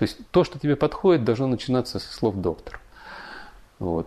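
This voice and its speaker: A man's dark, mellow, medium-pitched voice at a moderate pace, with very wide pitch swings. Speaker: engineer and educator. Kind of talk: interview. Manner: hesitant, filler-heavy.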